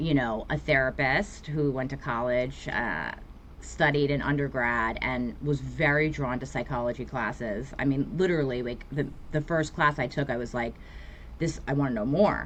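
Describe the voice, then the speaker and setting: A woman with a New York accent talks at a moderate pace with vocal fry. Her pitch is very deep and low, and her intonation is fairly even. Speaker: therapist. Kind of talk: podcast interview.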